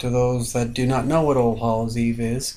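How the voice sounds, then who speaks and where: A man with an American accent speaks at a medium pitch and moderate pace in a dark, mellow tone. His intonation is monotone and flat, and audible room echo is present. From Long Island, New York. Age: 30s. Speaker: online video host. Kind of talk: casual chat.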